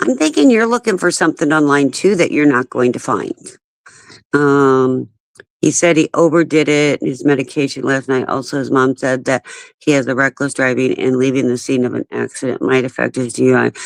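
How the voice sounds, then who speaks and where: A woman with an American accent speaks at a fairly quick pace in a very deep, low pitch with vocal fry. Her pitch varies in an ordinary way, and the sound is dry and close with no echo. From US Midwest, St. Louis. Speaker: livestreamer. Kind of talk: casual chat. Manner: animated.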